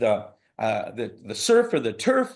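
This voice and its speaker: A man talks in an animated tone. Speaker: cruise line representative. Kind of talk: sales presentation. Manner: fast.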